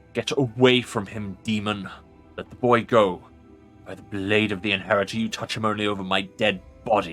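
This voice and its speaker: Over faint music in the background, a man puts on a booming character voice with a fairly low pitch and fairly even intonation, speaking at a moderate pace with big swings in loudness. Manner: defiant, commanding.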